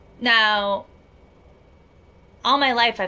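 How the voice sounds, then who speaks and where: On a very clean recording with a silent background, a woman speaks in a bright, sharp tone. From Miami. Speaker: life coach. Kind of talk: motivational vlog.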